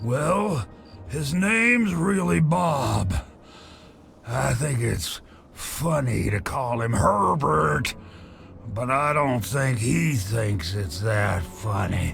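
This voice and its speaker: A man puts on a raspy character voice at medium pitch. He speaks very slowly with long, frequent pauses over clear background noise. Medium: video game. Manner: casual, chatty.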